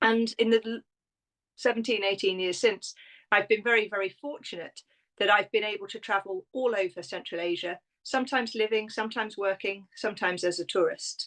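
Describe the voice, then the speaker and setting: A woman with a British accent speaks at a fairly quick pace and a fairly high pitch, her intonation fairly even, against a quiet background with a dry, close sound and no echo. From Britain. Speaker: tourism consultant and travel writer. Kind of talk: interview.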